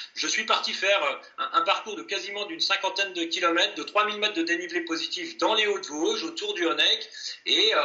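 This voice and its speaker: A man talks at a moderate speed with noticeable noise in the background. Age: 40s. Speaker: ultra-endurance athlete. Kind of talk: interview.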